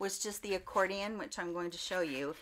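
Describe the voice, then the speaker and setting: A woman's fairly quick speech with lively intonation. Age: 50s. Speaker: beauty content creator. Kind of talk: product review vlog. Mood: warm, upbeat. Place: home room.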